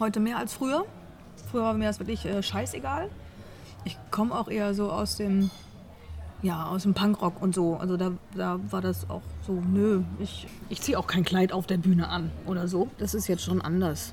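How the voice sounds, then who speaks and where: Long, frequent pauses in a woman's moderately paced speech. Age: 40s. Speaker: cabaret artist and songwriter. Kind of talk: interview.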